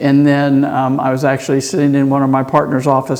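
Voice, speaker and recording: A very fast male speaker in an American accent, with noticeable background noise. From Texas, Houston. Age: 60s. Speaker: surgeon and motorcycle racer. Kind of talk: podcast interview. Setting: racetrack.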